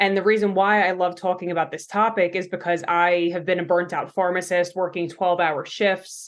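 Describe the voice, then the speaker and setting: A woman with a Long Island accent speaks at a medium pitch and moderate pace, her intonation monotone and flat, against a quiet background. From New York, Long Island. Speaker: pharmacist and coach. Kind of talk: podcast interview.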